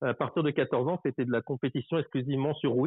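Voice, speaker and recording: Speaking at a fairly quick pace, a man keeps a fairly high pitch and fairly even intonation. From France, Paris region. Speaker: long-distance cyclist. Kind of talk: interview.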